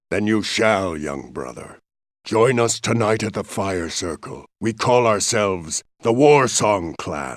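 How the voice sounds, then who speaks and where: A man's put-on character voice, fairly low and fairly slow, on a very clean recording with a silent background. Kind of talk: epic fantasy game voice acting. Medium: video game. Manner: gruff, forceful.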